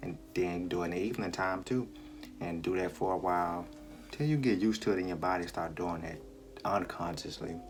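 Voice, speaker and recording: Against noticeable background noise, a soft-spoken man talks in a very deep, low voice with ordinary pitch variation. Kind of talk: casual advice talk to camera. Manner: soft-spoken, quiet.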